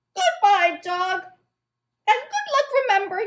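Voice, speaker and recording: An extremely high-pitched, cartoonish character voice moves along at a fairly slow pace. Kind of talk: children's puppet show.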